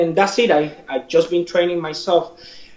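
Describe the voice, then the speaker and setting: Noticeable background noise runs under the recording. A man speaks at a high pitch. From Cuba. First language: Spanish. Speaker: martial arts instructor and fighter. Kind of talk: interview.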